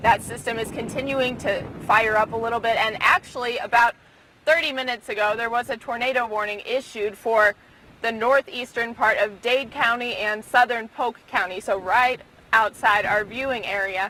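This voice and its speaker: A fairly high-pitched woman with fairly even intonation, against noticeable background noise. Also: moderate pace. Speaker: TV news reporter. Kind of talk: live TV weather report.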